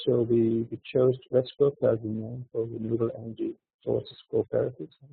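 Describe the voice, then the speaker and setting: A man talks at a moderate pace. His voice is quiet. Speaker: renewable energy cooperative representative. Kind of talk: webinar presentation. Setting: online webinar. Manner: halting, many fillers. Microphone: too quiet.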